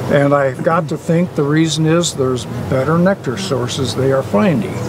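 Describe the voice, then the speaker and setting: A man's fairly high voice at a moderate pace, with very even loudness, ordinary pitch variation, and noticeable background noise. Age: 70s. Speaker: beekeeper. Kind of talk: interview.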